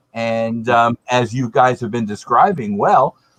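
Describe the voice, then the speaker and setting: At a fairly slow pace, a man with an unremarkable speaking voice talks at a medium pitch with ordinary pitch variation, in a dry, close sound with no echo. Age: 60s. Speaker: beer panelist. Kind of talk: casual chat.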